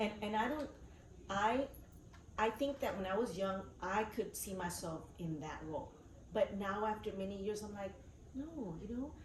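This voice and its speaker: Speaking in a South Texas accent, a woman uses lively intonation at medium pitch and a moderate pace, with long, frequent pauses. Noticeable background noise and audible room echo fill the recording. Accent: South Texas Mexican-American English. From US South, Rio Grande Valley, Texas. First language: Spanish. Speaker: teacher. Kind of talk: interview.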